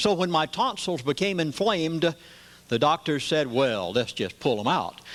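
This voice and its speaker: A man speaks in a plain, everyday voice at a moderate pace, with fairly high pitch and lively intonation. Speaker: pastor. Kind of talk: lecture to a live audience.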